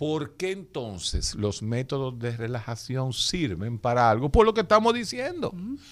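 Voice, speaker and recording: Speaking at a fairly slow pace with hardly any pauses, a man holds a medium pitch. His pitch swings very widely. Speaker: radio host and doctor. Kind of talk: radio health talk with callers. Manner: animated.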